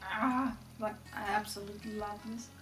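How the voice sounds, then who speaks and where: With a non-native accent, a woman speaks at a very slow pace as clear music plays in the background. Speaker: fashion vlogger. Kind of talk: casual talk to camera. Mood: enthusiastic. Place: home room.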